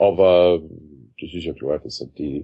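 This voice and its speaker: Speaking very slowly, a man uses a very deep, low pitch with vocal fry and ordinary pitch variation. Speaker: musician and parodist. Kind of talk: interview.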